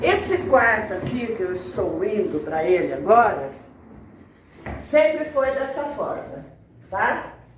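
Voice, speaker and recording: Very slow speech broken by long, frequent pauses, with noticeable background noise. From Brazil, Marília, São Paulo state. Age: 70s. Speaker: documentary interviewee. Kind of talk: interview testimony.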